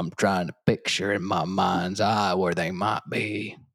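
A man's put-on character voice, very deep and low, flat and monotone, at a fairly slow pace.

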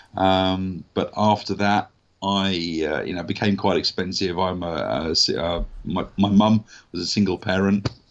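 This speaker talks at a fairly slow pace with a southern English accent. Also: man, very deep, low pitch for a man, fairly even intonation. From southern England. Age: 40s. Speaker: actor and voice artist. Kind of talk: casual interview. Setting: remote call.

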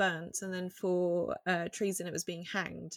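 In a very clean recording with a silent background, a woman with a normal speaking voice and medium pitch speaks at a moderate pace. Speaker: paranormal researcher and podcaster. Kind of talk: casual interview chat.

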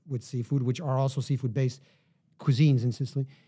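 A man with a New York accent talks very fast in a fairly high pitch, his dark, mellow tone somewhat breathy and his intonation fairly even. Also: very clean recording, silent background. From New York City, Manhattan. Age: 40s. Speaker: wine shop owner and author. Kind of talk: casual chat.

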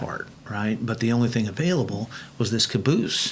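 A man with an Oklahoma accent talks at a moderate pace. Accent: Oklahoma US Southern. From Oklahoma, Bethany. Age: 60s. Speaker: car builder and TV personality. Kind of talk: casual interview chat.

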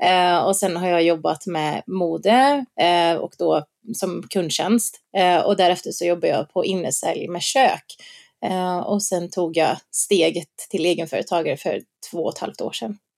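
A woman's fairly low-pitched voice with vocal fry and ordinary pitch variation, a fairly slow pace, and a dry, close sound with no echo. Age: 30s. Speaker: influencer and shop owner. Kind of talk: interview. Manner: hesitant, many fillers.

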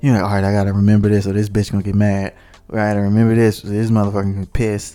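The man's voice sits at a fairly low pitch. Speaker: podcast co-host. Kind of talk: casual banter. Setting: video recording at home. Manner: joking, teasing, laid-back; low-talkative, dislikes long talking.

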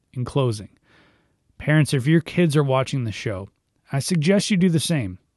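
A man with a fairly high pitch talks at a fairly slow pace, his voice somewhat breathy and his pitch swinging very widely. The sound is dry and close with no echo, over a quiet background. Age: 30s. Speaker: youth minister and devotional podcast host. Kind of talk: devotional talk, partly reading a blog post aloud.

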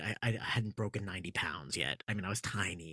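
Somewhat breathy and fairly quick, a man with an American accent speaks with lively intonation in a dry, close sound with no echo. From Massachusetts, Andover near Boston. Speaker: theater sound designer and composer. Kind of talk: casual interview. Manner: halting, many fillers.

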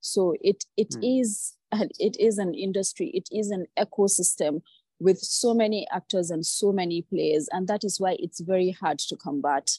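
Medium pitch and a dark, mellow tone from a woman, ordinary pitch variation, a moderate pace with hardly any pauses, the sound dry and close with no echo against a quiet background. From Nigeria. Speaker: journalist. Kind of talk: interview.

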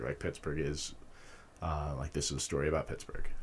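With an American accent, a man speaks fairly quickly in a very deep, low voice with vocal fry, on a very clean recording with a silent background. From Utah. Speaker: filmmaker. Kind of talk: casual interview.

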